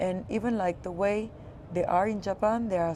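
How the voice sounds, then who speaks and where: Here a woman speaks with a French accent. Her pitch is medium and her pace moderate. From France, Paris area. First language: Spanish and French. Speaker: creative studio founder. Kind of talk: casual interview. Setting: outdoors.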